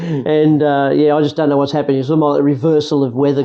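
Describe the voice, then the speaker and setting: There is noticeable background noise. A man with an Australian accent talks at a fairly high pitch. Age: 60s. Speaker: interviewee sharing life experience. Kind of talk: casual chat.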